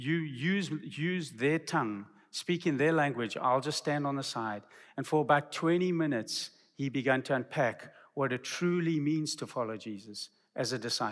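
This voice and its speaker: A man with an unremarkable speaking voice and fairly high pitch speaks at a moderate pace with ordinary pitch variation, in a very clean recording with a silent background. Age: 50s. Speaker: missions professor and preacher. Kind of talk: sermon. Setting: seminary chapel.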